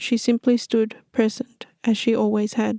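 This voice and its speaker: Soft-spoken and calm in tone, a woman talks at a fairly slow pace with a dry, close sound and no echo. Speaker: storyteller narrating her own original fantasy stories. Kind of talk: soft-spoken fantasy audiobook-style narration. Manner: soft-spoken, gentle, calm.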